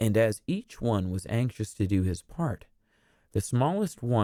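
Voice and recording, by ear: This is someone reading aloud in a natural voice.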